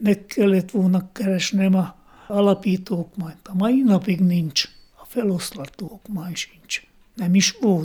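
A dark, mellow tone moves at a very slow pace. Intonation is fairly even, with big swings in loudness. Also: man, high pitch for a man. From Slovakia (Hungarian minority). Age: 80s+. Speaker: ethnographer and choreographer. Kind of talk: interview. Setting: at home.

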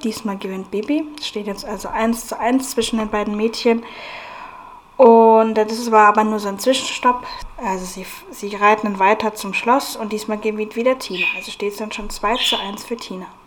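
A woman with a fairly high pitch and fairly even intonation speaks at a moderate pace, her loudness swinging widely against noticeable background noise. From Bavaria, Germany (Munich from age seven). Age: 20s. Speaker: podcast host. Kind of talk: casual podcast monologue. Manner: hesitant, many fillers.

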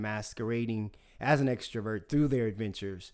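Medium pitch and a moderate pace from a man with an ordinary speaking voice, his pitch varying in an ordinary way. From US South. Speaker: podcast host. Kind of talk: casual chat.

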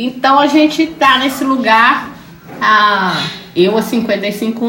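A woman speaks at a very slow pace with music in the background. Room echo is audible. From Belo Horizonte, Brazil. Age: 50s. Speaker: quilombo community leader. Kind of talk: interview.

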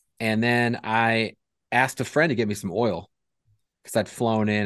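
A man speaks in a plain, everyday voice at a fairly low pitch. His pace is moderate and the background quiet. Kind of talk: casual chat.

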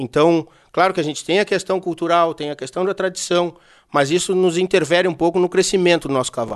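The pace is fairly quick. The background is quiet. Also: man, high pitch for a man. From Brazil, Porto Alegre (Rio Grande do Sul). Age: 30s. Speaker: horse trainer. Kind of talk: casual chat.

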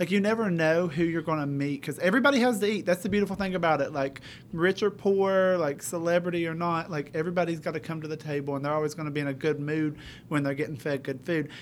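The speaker talks at a very fast pace in an East Tennessee accent, with ordinary pitch variation, on a very clean recording with a silent background. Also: man, fairly high pitch for a man. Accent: East Tennessee Southern American. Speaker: high school culinary teacher. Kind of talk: interview.

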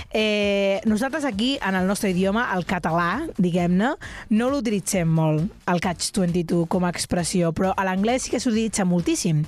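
On a very clean recording with a silent background, a woman at medium pitch talks at a fairly slow pace with lively intonation and very even loudness. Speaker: radio show host. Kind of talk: casual chat. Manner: energetic.

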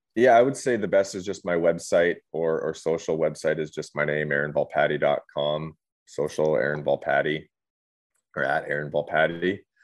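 The man speaks in a Canadian accent. His pace is moderate. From British Columbia, Canada (Revelstoke). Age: 30s. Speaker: former pro hockey player and author. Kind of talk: casual interview.

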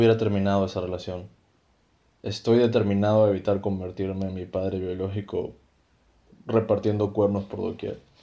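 A man speaks with a fairly low pitch and a dark, mellow tone. His loudness swings widely, and he pauses long and often. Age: 30s. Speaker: illustrator and podcast creator. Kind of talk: scripted comedy dialogue.

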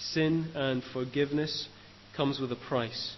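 There is noticeable background noise as a man talks in a Northern Irish accent. His medium pitch carries fairly even intonation at a fairly slow pace. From Northern Ireland, Lisburn. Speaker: trainee preacher, former maths teacher. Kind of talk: sermon.

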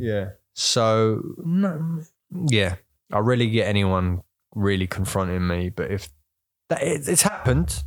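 A man's fairly low voice with very wide pitch swings, fairly slow in pace with long, frequent pauses, on a very clean recording with a silent background. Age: 20s. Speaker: photography student. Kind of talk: casual chat. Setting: at home on a sofa.

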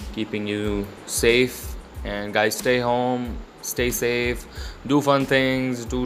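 A man at a medium pitch, with noticeable background noise. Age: 20s. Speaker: podcast host, fine arts student. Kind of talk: casual monologue.

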